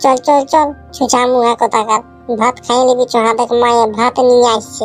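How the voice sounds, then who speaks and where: Over clear music in the background, a woman performs a high-pitched cartoonish character voice at a moderate pace. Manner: irritable, mocking.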